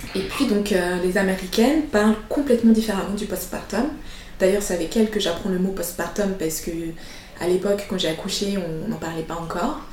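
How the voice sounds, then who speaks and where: A soft-spoken woman talks at a fairly quick pace and a medium pitch with ordinary pitch variation. Noticeable background noise can be heard. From Switzerland. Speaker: entrepreneur, founder of a service for mothers. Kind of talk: interview testimony.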